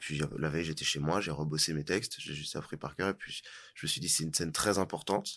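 Against a silent background in a very clean recording, a man with a very deep, low pitch speaks at a fairly quick pace with fairly even intonation. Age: 20s. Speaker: actor. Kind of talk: casual interview.

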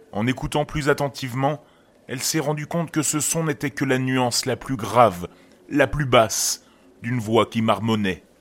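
A man speaks with ordinary pitch variation. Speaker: horror podcast narrator. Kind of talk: scripted horror story narration, reading a creepypasta aloud. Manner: slow, hushed, suspenseful storytelling.

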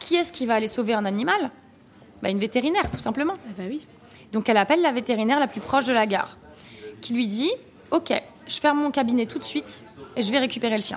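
The delivery is very fast, with lively intonation, yet long, frequent pauses break it up. Noticeable background noise runs underneath. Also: woman. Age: 30s. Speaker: restaurant owner. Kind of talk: interview.

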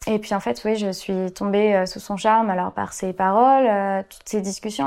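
A plain, everyday voice from a woman, medium in pitch, at a fairly slow pace. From western France. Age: 20s. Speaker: student sharing personal story. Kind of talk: testimony.

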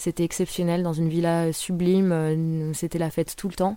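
A woman speaks with a very deep, low pitch and a dark, mellow tone in monotone, flat intonation. The recording is very clean, with a silent background. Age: 20s. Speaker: internet worker. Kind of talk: personal anecdotes monologue. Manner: casual, hesitant with fillers.

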